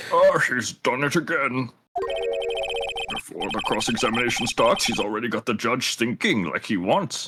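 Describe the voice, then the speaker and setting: Speaking at a medium pitch, a man performs a put-on character voice. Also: moderate pace. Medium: game stream. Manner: avuncular, chatty.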